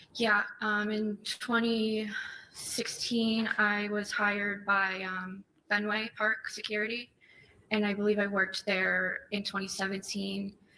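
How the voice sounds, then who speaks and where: Soft-spoken and fairly slow, a speaker with an American accent keeps a monotone, flat intonation over noticeable background noise. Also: woman, medium pitch for a woman. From Massachusetts (Methuen). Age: 20s. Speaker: trial witness. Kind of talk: court testimony. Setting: courtroom. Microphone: too far from the mic, hard to hear.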